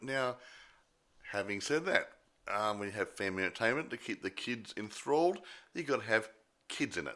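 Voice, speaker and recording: A man with an Australian accent speaks in a bright, sharp tone with lively intonation. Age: 60s. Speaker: film review podcast co-host. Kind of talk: casual chat. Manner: halting.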